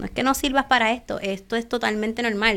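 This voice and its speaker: Using a plain, everyday voice, a woman speaks fairly quickly at a fairly high pitch with fairly even intonation, in a very clean recording with a silent background. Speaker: entrepreneur and author. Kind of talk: interview. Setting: live stream.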